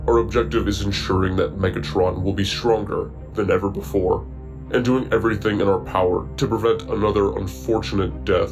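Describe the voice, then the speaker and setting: Over loud background music, a man talks at a moderate pace in a put-on character voice pitched very deep and low. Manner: calm, clinical.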